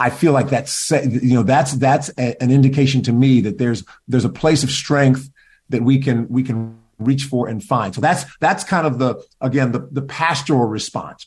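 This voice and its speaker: A man with an American accent speaks at a moderate pace in a somewhat breathy voice. His pitch sits in the medium range with ordinary variation. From US Midwest, Cleveland, Ohio. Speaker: pastor and former government official. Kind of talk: interview.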